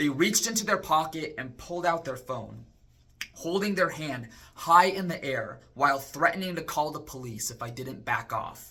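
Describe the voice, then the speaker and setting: A man's fairly high voice with an American accent, an ordinary speaking voice, lively intonation and big swings in loudness. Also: moderate pace. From Arizona (Chandler). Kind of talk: personal testimony.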